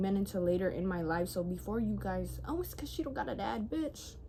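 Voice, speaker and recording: Her voice carries a somewhat breathy quality. The woman moves along at a fairly quick pace. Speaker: podcast host. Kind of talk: casual monologue. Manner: animated.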